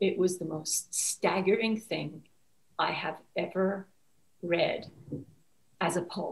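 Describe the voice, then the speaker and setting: Over faint background music, a woman speaks very slowly with fairly even intonation. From Iran (Tehran). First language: Persian. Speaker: author; guest. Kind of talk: interview. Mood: reflective, earnest. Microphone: webcam.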